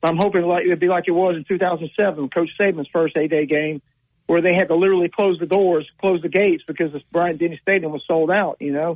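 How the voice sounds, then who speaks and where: Talking at a very fast pace with fairly even intonation, the speaker has a Southern US accent. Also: man, high pitch for a man. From Louisiana (Zachary, near Baton Rouge). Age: 50s. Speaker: caller. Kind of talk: call-in radio chat.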